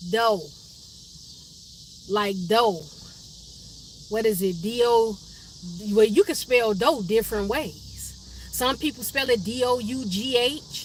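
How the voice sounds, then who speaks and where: A woman's fairly high voice at a very slow pace, with ordinary pitch variation, long, frequent pauses and noticeable background noise. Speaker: livestream host. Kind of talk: casual live stream chat with viewers. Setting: live stream from her car.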